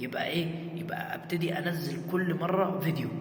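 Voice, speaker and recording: Monotone, flat intonation carries an Egyptian accent through audible room echo and noticeable background noise. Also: man. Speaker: content creator. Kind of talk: casual vlog talk. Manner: halting, many repetitions; raising voice to be heard.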